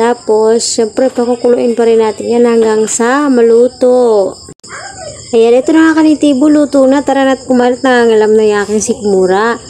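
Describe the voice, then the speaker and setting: At a moderate pace, a woman talks in a high pitch over noticeable background noise. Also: ordinary pitch variation, very even loudness. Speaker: cooking vlogger. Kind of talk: cooking tutorial. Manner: loud.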